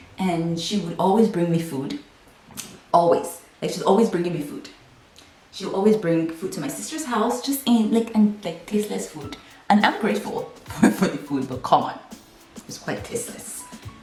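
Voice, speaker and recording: A woman with a Nigerian accent speaks at a moderate pace, with very wide pitch swings and big swings in loudness. The recording has audible room echo and noticeable background noise. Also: medium pitch for a woman. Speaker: YouTuber. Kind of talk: casual storytelling vlog. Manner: animated.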